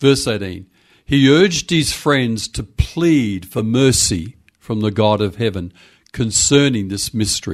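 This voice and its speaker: Lively intonation marks this man's Australian accent. He speaks fairly slowly at a medium pitch. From Western Australia, Perth. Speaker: pastor and church consultant. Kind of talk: casual interview. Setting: home study, remote call.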